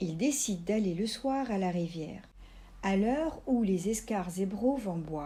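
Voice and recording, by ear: This voice is reading aloud in a natural voice. The intonation is lively.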